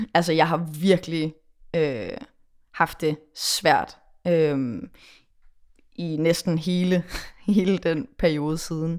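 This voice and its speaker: Over a very clean recording with a silent background, a woman with a fairly low pitch and ordinary pitch variation speaks at a very slow pace, leaving long, frequent pauses. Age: 20s. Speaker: pop musician. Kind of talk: casual chat.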